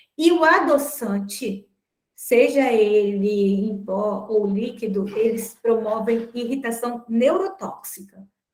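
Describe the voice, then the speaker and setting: Speaking very slowly, a woman uses a fairly high pitch and lively intonation. Her voice is somewhat breathy. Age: 50s. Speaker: nutrition teacher. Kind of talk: online class.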